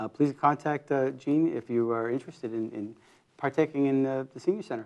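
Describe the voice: A man speaks at a medium pitch and a fairly quick pace. His tone is slightly mellow, with ordinary pitch variation.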